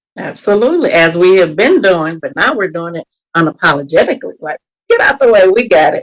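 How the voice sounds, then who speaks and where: A woman's medium-pitched voice with a slight Texas accent, lively intonation and a fairly quick pace, in a dry, close sound without echo. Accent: slight Texas country twang. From Texas, Beaumont. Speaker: mental health coach. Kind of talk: podcast interview.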